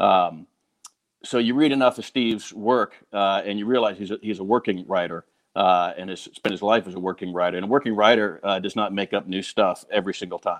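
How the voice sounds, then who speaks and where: The dry, close sound with no echo and quiet background capture a man talking fairly quickly at a fairly low pitch with ordinary pitch variation. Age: 50s. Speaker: falconer. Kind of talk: testimonial. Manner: halting, many repeated words.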